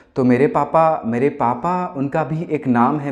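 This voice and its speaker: A man speaks with lively intonation. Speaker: singer-songwriter. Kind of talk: casual monologue. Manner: halting.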